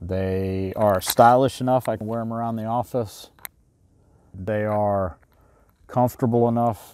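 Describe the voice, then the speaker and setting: A man talks at a fairly slow pace in a dark, mellow tone, with ordinary pitch variation and a dry sound with no echo. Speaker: gear reviewer. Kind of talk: product review talk. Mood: relaxed, conversational. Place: waterside.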